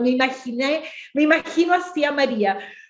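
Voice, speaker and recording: Pitch rises and falls in an ordinary way at a moderate pace. The room adds audible echo. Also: woman. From Chile, Temuco area. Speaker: women's ministry speaker. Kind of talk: bible study talk.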